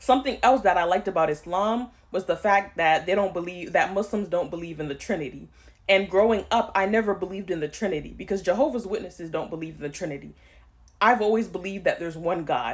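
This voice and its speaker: On a very clean recording with a silent background, a woman speaks at a very fast pace in a medium pitch. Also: ordinary pitch variation. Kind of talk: testimony.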